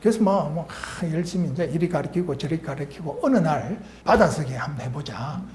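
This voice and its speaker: Noticeable background noise and audible echo from the room surround the voice. The delivery is fairly quick. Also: man, fairly high pitch for a man, ordinary pitch variation. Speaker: retired medical professor and author. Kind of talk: talk / lecture-style monologue. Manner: halting, many fillers.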